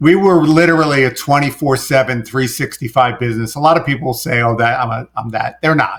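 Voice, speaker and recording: A man in a New York accent talks at a fairly quick pace with a fairly high pitch. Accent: New York accent, toned down. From New York City. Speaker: business coach and former contractor. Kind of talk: podcast interview.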